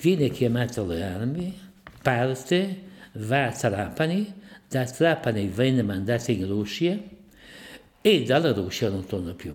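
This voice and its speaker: A man's medium-pitched voice at a fairly slow pace, with very wide pitch swings. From Ferrara province, Italy. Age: 90s. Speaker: eyewitness. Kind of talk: testimony.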